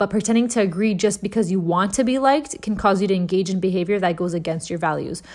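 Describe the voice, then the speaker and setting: A woman speaks at a very fast pace in a medium pitch. Her tone is animated. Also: ordinary pitch variation. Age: 20s. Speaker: podcast co-host. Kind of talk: casual chat. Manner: animated, chatty.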